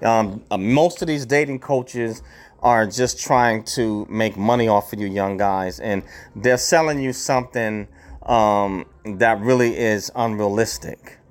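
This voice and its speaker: This man talks at a fairly slow pace and a medium pitch. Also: ordinary pitch variation. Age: 50s. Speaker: podcast host. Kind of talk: solo monologue. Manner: halting, many fillers.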